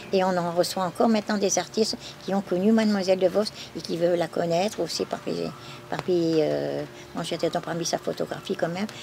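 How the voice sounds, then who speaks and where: A woman's fairly low voice with fairly even intonation, over noticeable background noise. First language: Flemish (speaking French). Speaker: museum keeper. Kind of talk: testimony. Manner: halting.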